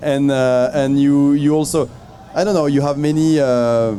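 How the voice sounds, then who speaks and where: Noticeable background noise sits under the recording. A man talks at a moderate pace. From France. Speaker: travel guide author on Armenian diaspora. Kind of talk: panel discussion. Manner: halting, many repetitions.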